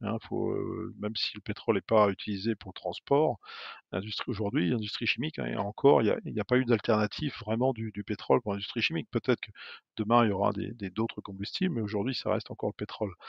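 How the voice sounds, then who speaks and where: A man with a fairly low pitch and vocal fry talks at a very fast pace with ordinary pitch variation. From France, Normandy (Fécamp). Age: 50s. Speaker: energy company executive. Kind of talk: interview. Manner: halting, many hesitations.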